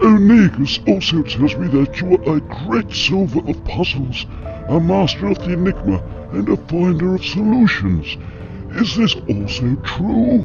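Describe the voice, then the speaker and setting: Over loud background music, a man performs a cartoonish character voice at a fairly high pitch. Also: moderate pace. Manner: pompous, formal.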